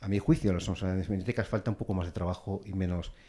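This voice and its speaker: A man speaks at a fairly low pitch in a dark, mellow tone. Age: 50s. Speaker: businessman panelist. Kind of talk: panel debate. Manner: halting.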